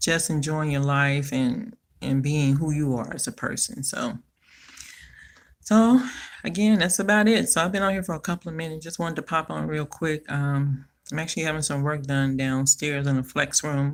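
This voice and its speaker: Someone with an American accent speaks at a moderate pace using lively intonation. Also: woman, very deep, low pitch for a woman. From Chicago, US Midwest. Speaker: personal finance vlogger. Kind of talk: live stream monologue. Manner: casual, filler-heavy.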